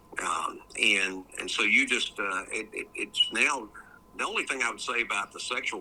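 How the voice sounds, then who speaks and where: A man talks at a moderate speed while noticeable noise sounds in the background. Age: 70s. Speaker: judge and faith commentator. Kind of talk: interview. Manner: halting, many fillers and repeats.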